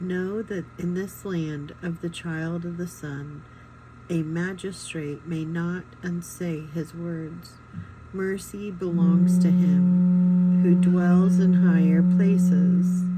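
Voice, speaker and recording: A quiet woman speaks very slowly in a fairly low, somewhat breathy voice with a dark, mellow tone and monotone, flat intonation, with audible room echo. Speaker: reader of a book. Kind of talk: reading aloud; casual chat.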